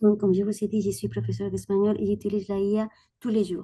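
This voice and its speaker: With a Spanish accent, a woman speaks at medium pitch in a dark, mellow, somewhat breathy tone with ordinary pitch variation. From Spain. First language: Spanish (speaking French). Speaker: audience member, language teacher. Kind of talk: audience question.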